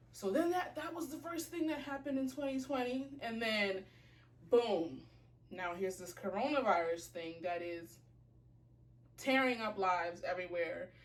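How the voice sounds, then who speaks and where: Speaking at a moderate pace with audible room echo, a woman's fairly high voice swings very widely in pitch. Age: 20s. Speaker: fashion and lifestyle blogger. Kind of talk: casual vlog chat. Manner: casual, filler-heavy.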